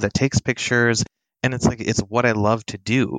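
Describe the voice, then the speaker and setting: A man speaks in a plain, everyday voice at a medium pitch, with fairly even intonation. The recording is very clean and silent in the background, with a dry, close sound and no echo. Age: 30s. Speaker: photographer. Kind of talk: casual chat.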